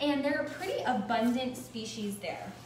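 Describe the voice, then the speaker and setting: There is audible room echo and light background noise as a woman talks with ordinary pitch variation. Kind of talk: educational commentary. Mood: warm, relaxed. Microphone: phone near.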